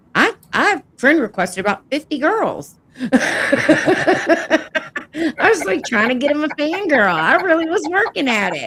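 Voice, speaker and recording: Fairly slow talk from a woman, noticeable noise in the background. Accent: Southern US. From US South. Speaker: podcast co-host. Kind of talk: casual chat.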